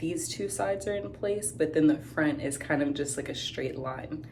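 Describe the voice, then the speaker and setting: A woman speaks at a fairly slow pace, and the room echo is audible. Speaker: teacher and vlogger. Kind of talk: casual vlog. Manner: casual, filler-heavy.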